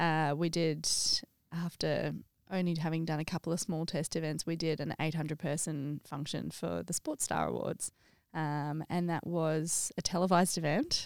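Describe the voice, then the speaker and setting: In a very clean recording with a silent background, a woman with an Australian accent speaks in a very deep, low pitch with monotone, flat intonation. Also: moderate pace. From Australia (Sydney). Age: 30s. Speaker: stadium events sales manager. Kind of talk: casual interview chat.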